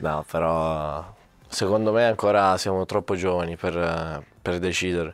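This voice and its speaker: Faint music plays in the background as a man speaks at a moderate pace, the sound dry with no echo. His voice is very deep and low. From Sicily, Catania; Sicily. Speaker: youth footballer; interviewee. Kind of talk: casual interview. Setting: training center. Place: studio. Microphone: handheld.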